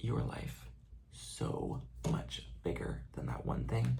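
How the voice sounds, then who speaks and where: Whispering, a soft-spoken man talks. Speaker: ASMR creator and graduate student on a dance team. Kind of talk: ASMR soft-spoken comforting talk to camera about anxiety. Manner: soft-spoken, whispering, reassuring.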